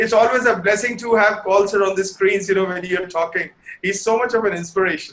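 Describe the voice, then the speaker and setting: Loud, fairly quick speech from a man at high pitch, with ordinary pitch variation. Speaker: fashion photographer and teacher. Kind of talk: webinar lecture.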